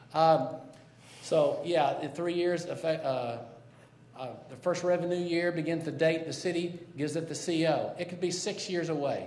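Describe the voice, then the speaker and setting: Against noticeable background noise and audible room echo, a man talks at a moderate pace in a high pitch. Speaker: citizen activist. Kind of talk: public testimony. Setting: city council chamber. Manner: loud; halting, many fillers and restarts.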